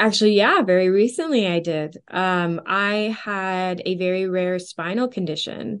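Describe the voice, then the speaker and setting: A woman speaks at a fairly slow pace with a Western Canadian accent, her pitch medium and her delivery having hardly any pauses. The background is quiet. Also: ordinary pitch variation. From Canada, Edmonton, Alberta. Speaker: film and music composer and singer. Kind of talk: interview conversation.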